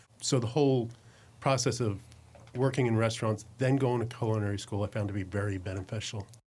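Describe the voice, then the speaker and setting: A man with an American accent, fairly low in pitch and somewhat breathy, at a very fast pace. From New Jersey. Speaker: executive chef. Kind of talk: casual chat.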